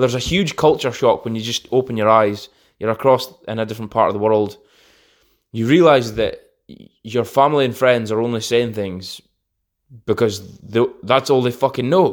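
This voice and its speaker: A man with a Scottish accent at a moderate pace, on a very clean recording with a silent background. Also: medium pitch for a man, ordinary pitch variation, big swings in loudness. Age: 20s. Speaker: podcast host. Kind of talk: casual monologue.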